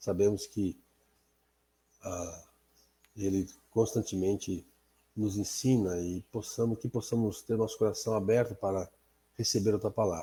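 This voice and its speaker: A man talks at a fairly slow pace with long, frequent pauses, his fairly low pitch carrying a dark, mellow tone that is somewhat breathy, with fairly even intonation on a very clean recording with a silent background. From Azores, Portugal. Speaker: Bible class teacher. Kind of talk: prayer; Bible study lesson. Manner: halting.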